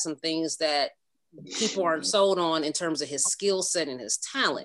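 This woman speaks in an ordinary speaking voice with an American accent, fairly low-pitched, with ordinary pitch variation at a moderate pace. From Cleveland, Ohio. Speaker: sports fan guest, mother of football players. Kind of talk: casual chat.

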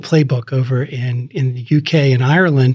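A man's somewhat breathy voice, fairly high in pitch, at a moderate pace. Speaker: podcast host. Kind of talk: interview conversation. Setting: studio.

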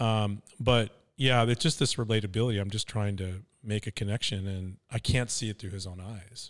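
Speaking with an American accent, a man talks at a moderate pace with hardly any pauses and a fairly low pitch. His loudness swings a lot, on a very clean recording with a silent background. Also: fairly even intonation. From US West Coast, Venice, California. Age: 60s. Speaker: podcast co-host. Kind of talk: casual chat. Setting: studio.

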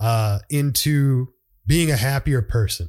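This man's voice sits at a medium pitch. He talks at a very slow pace. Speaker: podcast host. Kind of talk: casual monologue. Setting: solo podcast recording. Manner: halting, many fillers.

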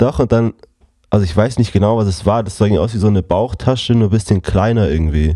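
A man speaks at a very fast pace with a fairly low pitch and ordinary pitch variation. His tone is dark and mellow. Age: 20s. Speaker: podcast co-host. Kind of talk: casual chat.

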